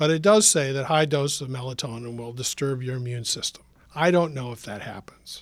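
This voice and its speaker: A man's fairly high voice at a fairly quick pace, with ordinary pitch variation and big swings in loudness. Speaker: sleep medicine physician. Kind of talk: interview. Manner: halting.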